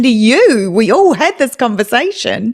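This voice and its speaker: A woman's fairly high-pitched voice with a New Zealand accent. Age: 40s. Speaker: true-crime podcast host. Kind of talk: interview conversation. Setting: live audio room.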